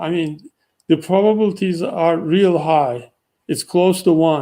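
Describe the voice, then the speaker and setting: A man's fairly slow voice in a non-native accent, high in pitch, with a dark, mellow tone and ordinary pitch variation. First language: not English. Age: 60s. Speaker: technical writing instructor. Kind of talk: live Q&A stream. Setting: livestream. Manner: hesitant with repeated words.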